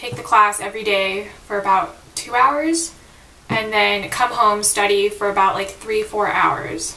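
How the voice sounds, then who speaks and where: With audible room echo and noticeable background noise, a woman talks at a medium pitch and a fairly slow pace. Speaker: student vlogger. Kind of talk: casual vlog. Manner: louder than usual; casual, filler-heavy.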